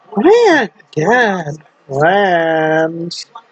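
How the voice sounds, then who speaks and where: A put-on character voice, female-sounding, fairly low in pitch for a woman. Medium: read story. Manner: eerie, intimate.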